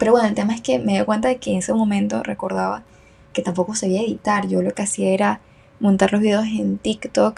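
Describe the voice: A woman talks at a fast pace in a medium pitch, with little pitch movement. Her tone is slightly mellow, with a slightly husky edge and vocal fry.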